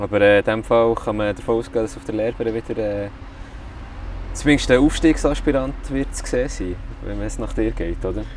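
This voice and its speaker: A man with a Swiss German accent talks at a fairly quick pace over noticeable background noise. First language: Swiss German (speaking German). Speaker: football club podcast host. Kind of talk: casual interview. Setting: clubhouse container.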